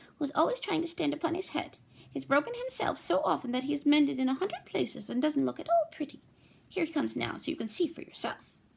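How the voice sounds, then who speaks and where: A female-sounding, put-on character voice talks at a very fast pace in a high pitch. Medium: read story.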